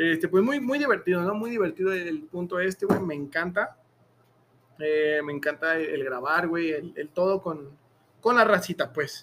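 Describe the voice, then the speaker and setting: A man's high-pitched voice at a very slow pace, with music in the background. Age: 20s. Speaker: podcast host. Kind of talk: casual chat. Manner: animated.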